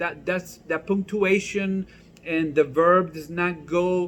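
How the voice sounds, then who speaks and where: A man's high-pitched, animated voice in a non-native accent, at a fairly slow pace. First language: not English. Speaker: pastor. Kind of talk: comedic church vlog. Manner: casual, conversational.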